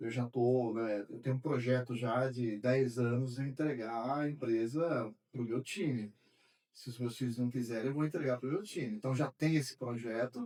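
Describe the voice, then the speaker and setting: A man speaks in a plain, everyday voice at medium pitch. His pace is moderate and his intonation fairly even. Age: 60s. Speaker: accounting firm owner. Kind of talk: podcast conversation.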